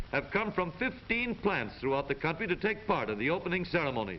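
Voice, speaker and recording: A man with a high voice talks at a fairly quick pace, his intonation lively and his tone upbeat, over noticeable background noise. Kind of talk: newsreel narration.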